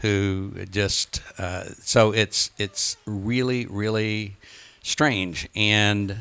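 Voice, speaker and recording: A man is talking here. The tone of his voice is bright and sharp. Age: 70s. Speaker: retired trial lawyer and author. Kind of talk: talk to a local meeting. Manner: many fillers, halting.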